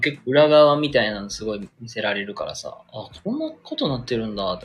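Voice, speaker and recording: A man talks at a fairly quick pace with hardly any pauses. His loudness swings widely. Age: 20s. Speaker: livestreamer. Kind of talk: casual chat. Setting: solo live stream.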